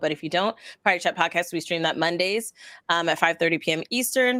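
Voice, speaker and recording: At a fairly quick pace, a woman of medium pitch speaks in a bright, sharp tone with ordinary pitch variation, and the recording is very clean with a silent background. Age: 30s. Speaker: variety streamer and podcaster. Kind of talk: casual chat. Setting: live stream.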